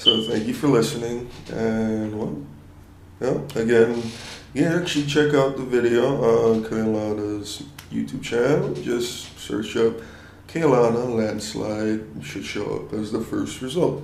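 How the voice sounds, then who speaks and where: Amid noticeable background noise and audible room echo, a man speaks at a fairly slow pace with ordinary pitch variation. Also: medium pitch for a man. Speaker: audio engineer. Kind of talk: mix commentary. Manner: low energy. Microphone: poor audio quality.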